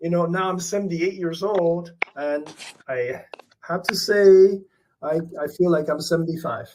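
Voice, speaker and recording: This man's voice is high in pitch, with a moderate pace and fairly even intonation. He leaves long, frequent pauses. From Canada, London Ontario (born in Taiwan, emigrated at 11). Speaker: visual artist. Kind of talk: interview. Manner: halting.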